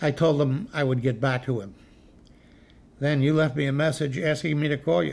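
A man's somewhat breathy voice with ordinary pitch variation. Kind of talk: scripted drama dialogue on the phone. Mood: calm, kindly. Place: home room.

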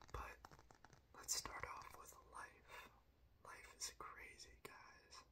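Whispering at a very slow pace, a man speaks in a calm tone. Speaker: ASMR creator. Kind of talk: ASMR whisper talk to camera. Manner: whispered; calm, soft-spoken. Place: home room.

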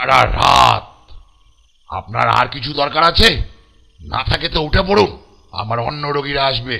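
Raspy and at a medium pitch, a man's put-on character voice moves at a moderate pace. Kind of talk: animated horror story narration. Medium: cartoon. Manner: brusque.

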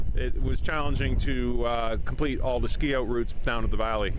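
Over noticeable background noise, a man talks at a moderate pace, the sound dry with no echo. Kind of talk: interview answer. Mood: calm, defending the resort. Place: open country.

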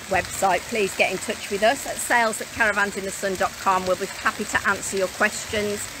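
A woman with a British accent speaks at a moderate pace in a dry sound with no echo, over noticeable background noise. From Britain. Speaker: mobile home sales vlogger. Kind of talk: live stream walking tour. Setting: outdoors. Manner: casual, chatty. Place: street. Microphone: phone near.

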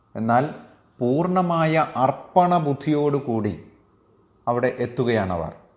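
A man at medium pitch with lively intonation, a plain, everyday voice. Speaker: Bhagavad Gita teacher. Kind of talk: religious discourse.

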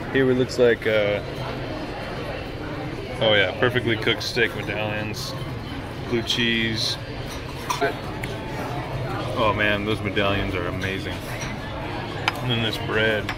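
A man's speech broken by long, frequent pauses over loud background noise. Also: fairly slow pace. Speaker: food vlogger. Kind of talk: casual vlog chat. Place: cafe. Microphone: phone near.

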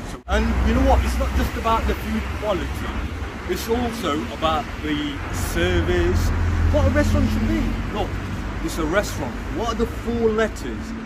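Loud background noise fills the clip as a man talks at a moderate pace. He makes long, frequent pauses. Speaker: presenter. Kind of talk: casual promotional presenting. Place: street. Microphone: phone near.

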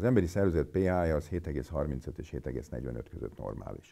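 Against a quiet background, a man speaks with a very deep, low pitch, a dark, mellow tone and vocal fry. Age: 50s. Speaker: physician; interviewee. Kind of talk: interview. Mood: blunt, mocking about myths. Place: meeting room.

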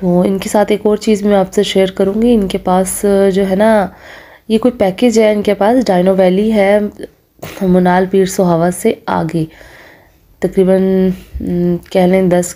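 A woman speaks at a very slow pace in a dark, mellow tone. Her intonation is monotone and flat, and her loudness stays very even. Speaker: food vlogger. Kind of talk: casual vlog chat. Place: cafe. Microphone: phone near.

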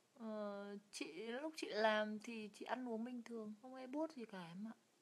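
A woman's fairly high voice in a Hanoi accent, relaxed in tone, fairly slow, with ordinary pitch variation and big swings in loudness. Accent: northern Vietnamese (Hanoi). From northern Vietnam, Hanoi; Vietnam. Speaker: live streamer. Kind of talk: casual live stream chat. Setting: lying down during live stream. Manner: relaxed, chatty. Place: home room. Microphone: phone near.

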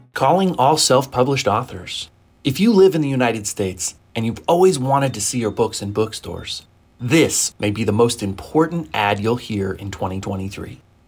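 On a very clean recording with a silent background, a man speaks in a medium-pitched, somewhat breathy voice. His pace is moderate and his intonation lively. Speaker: podcast host and author. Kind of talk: casual interview chat.

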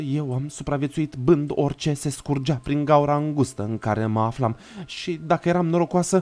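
In a dramatic tone, a man with a fairly high voice speaks at a moderate pace with ordinary pitch variation. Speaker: streamer reading horror stories. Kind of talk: live horror story narration to chat. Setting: live stream with chat. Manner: dramatic, gripping, vivid narration; casual, chatty, warm with viewers. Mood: dark, dramatic narration. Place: home room. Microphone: studio mic.

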